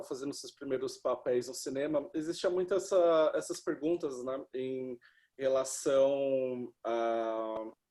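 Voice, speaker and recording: A man with a dark, mellow tone and fairly high pitch talks very slowly. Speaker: film critic interviewer. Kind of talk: interview. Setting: video call.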